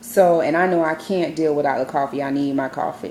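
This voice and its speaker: Over noticeable background noise, a woman talks at a moderate pace in a very deep, low pitch with ordinary pitch variation. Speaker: weight-loss surgery vlogger. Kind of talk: casual vlog.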